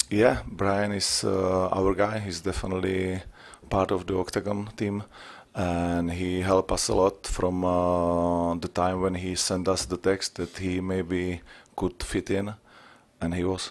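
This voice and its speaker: At a fairly slow pace, a man talks in a very deep, low pitch with fairly even intonation. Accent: Czech. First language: Czech. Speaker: MMA promoter and ring announcer. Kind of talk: press conference answers. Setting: press conference. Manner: halting.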